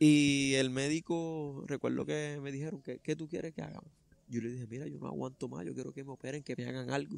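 A man talks at a fairly quick pace with ordinary pitch variation. The sound is dry with no echo. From Puerto Rico. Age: 30s. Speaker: runner and truck driver; interviewee. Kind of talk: interview testimony; interview answer. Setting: outdoors in a park. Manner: halting. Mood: earnest, reflective. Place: garden.

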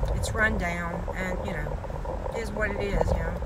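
Loud noise fills the background while a woman talks. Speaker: vlogger driving with her dogs. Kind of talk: casual vlog chat. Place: car.

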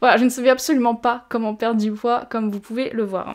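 A woman speaks at a moderate pace in a flat monotone. The background is quiet. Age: 20s. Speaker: fitness youtuber. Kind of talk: personal testimony. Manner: hesitant. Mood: calm, reflective, serious. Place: home room.

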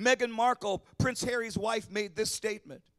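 An extremely high-pitched man's voice against a quiet background. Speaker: preacher. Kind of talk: sermon. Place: church. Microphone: handheld.

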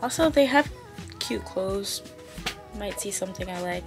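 Clear music sits in the background. Over it, a woman speaks at a moderate pace. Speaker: vlogger. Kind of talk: casual vlog chat. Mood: relaxed, chatty. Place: home room. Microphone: phone near.

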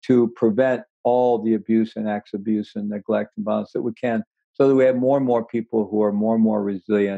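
A man with an American accent talks fairly quickly in a medium-pitched, dark, mellow voice with fairly even intonation. The sound is dry with no echo, and the background is quiet. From US Midwest, Missouri. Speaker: meditation teacher and author; meditation teacher. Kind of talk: interview conversation. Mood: earnest, reflective. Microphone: earbuds.

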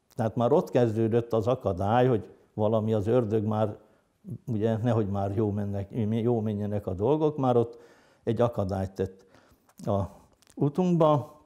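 A man talks at a moderate pace in a dark, mellow tone with ordinary pitch variation. He takes long, frequent pauses against a quiet background. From northern Hungary, Heves county; Hungary. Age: 60s. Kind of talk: interview testimony; interview answer. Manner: hesitant, with many fillers. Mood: calm, reflective. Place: home room. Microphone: lapel.

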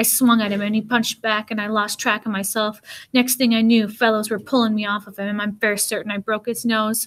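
Just a natural reading voice

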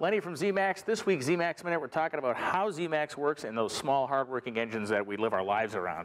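Speaking very fast, a man delivers his words with lively intonation. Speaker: TV show host. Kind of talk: product segment commentary. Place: garage.

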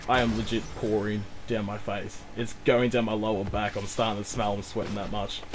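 A man's fairly low, monotone voice at a fairly quick pace, against noticeable background noise. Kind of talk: casual banter, heated gaming argument. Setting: online game lobby, voice chat.

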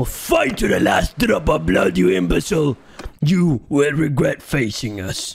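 Pitched fairly high, the man performs a put-on character voice. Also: moderate pace. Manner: menacing.

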